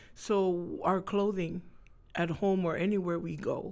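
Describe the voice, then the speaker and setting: A woman's fairly low pitch in a monotone, flat intonation at a fairly slow pace, with audible room echo. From Hawaii (Honolulu), Tongan family. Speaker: entertainer and Tongan dancer. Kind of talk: casual interview chat.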